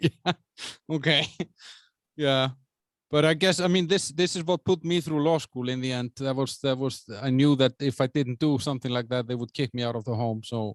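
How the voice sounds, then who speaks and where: A man with a medium-pitched, unremarkable speaking voice talks at a moderate pace with ordinary pitch variation, recorded dry and close with no echo against a quiet background. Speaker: lawyer and podcast host. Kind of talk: casual interview questions.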